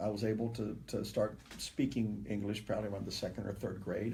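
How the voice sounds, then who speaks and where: Somewhat breathy and fairly low in pitch, a man talks at a fairly quick pace in a dark, mellow tone with audible room echo. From South Texas, Rio Grande Valley (born Matamoros, Mexico). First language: Spanish. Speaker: politician and candidate. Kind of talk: interview. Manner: halting, many repetitions.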